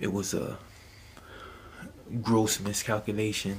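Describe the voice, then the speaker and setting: A soft-spoken man talks with a fairly low pitch. His intonation is monotone and flat. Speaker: YouTube commentator. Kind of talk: casual vlog commentary. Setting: at home at night. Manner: soft-spoken, talking low; halting, many fillers.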